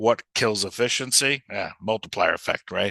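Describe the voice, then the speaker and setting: In a New York accent, a man speaks at a medium pitch with a bright, sharp tone, in a dry, close sound with no echo and a quiet background. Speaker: software company sales leader. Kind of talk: webinar presentation. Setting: live webinar. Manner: fast; animated.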